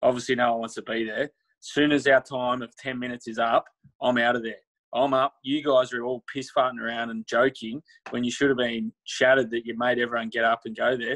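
A man speaks at a fairly quick pace and medium pitch, with little pitch movement and a fairly bright tone. The sound is dry and close, with no echo.

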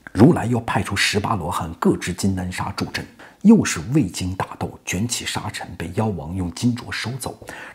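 Speaking at a fairly slow pace, a man uses a fairly low pitch with ordinary pitch variation and big swings in loudness. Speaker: storyteller. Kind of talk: animated storytelling commentary. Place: home room. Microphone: lapel.

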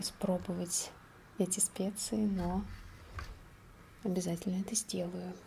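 Soft-spoken and somewhat breathy, a woman speaks at a very slow pace over light background noise. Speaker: spice review creator. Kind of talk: casual ASMR-style review chat. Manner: soft, quiet ASMR voice. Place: home room.

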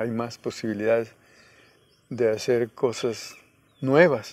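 A man speaks at a very slow pace with fairly even intonation. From Guerrero, Mexico (Coyuca de Benítez); Guerrero, Mexico. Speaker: peasant organizer and rural university founder; interviewee. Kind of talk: interview; interview answer. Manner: halting. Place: garden. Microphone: lapel.

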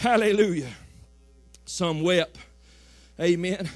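Music plays in the background as a man with a Southern US accent talks in an animated tone. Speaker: pastor. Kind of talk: sermon. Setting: church. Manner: animated, fervent preaching, punctuated by frequent "amen" calls; repetitive, rhythmic, building call-and-response cadence.

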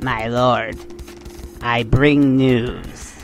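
A man in a put-on character voice at medium pitch, with clear music in the background. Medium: audio drama.

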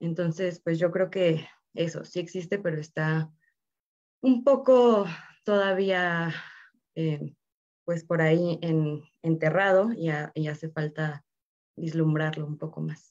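A woman speaks at a very slow pace with long, frequent pauses. Her pitch is fairly low, with ordinary pitch variation. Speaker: filmmaker. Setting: video call.

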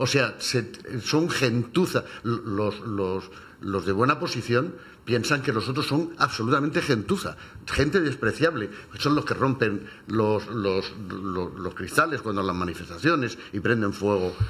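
In a normal speaking voice at medium pitch, a man talks fairly slowly with lively intonation. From Cartagena, Spain. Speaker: retired English teacher. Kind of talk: radio panel discussion. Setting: radio studio.

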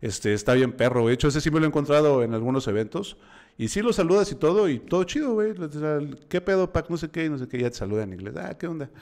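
A man with a Mexican accent, very fast and fairly high-pitched, with very wide pitch swings against a quiet background. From Mexico. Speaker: podcast host. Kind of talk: casual chat. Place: home room. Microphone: studio mic.

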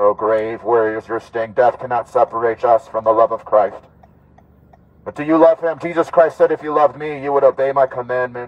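The man speaks at a fairly quick pace. His pitch shows ordinary variation. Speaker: street preacher. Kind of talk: street preaching through a megaphone. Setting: outdoors, outside a clinic. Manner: loud, forceful, fervent. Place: car.

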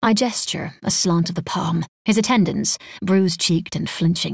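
The pitch moves in an ordinary way. This is reading aloud in a natural voice.

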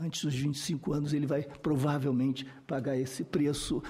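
A man's fairly high, somewhat breathy voice with a dark, mellow tone, moderate pace and fairly even intonation. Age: 60s. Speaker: researcher and expert witness on violence; witness. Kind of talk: testimony at a parliamentary hearing. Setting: senate committee hearing room. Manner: formal. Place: meeting room. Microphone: podium.

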